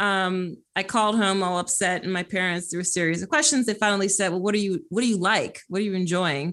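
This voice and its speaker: A woman with an American accent talks at a fairly quick pace in a normal speaking voice, with medium pitch and ordinary pitch variation. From Philadelphia, US. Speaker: creativity strategist and author. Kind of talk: interview conversation.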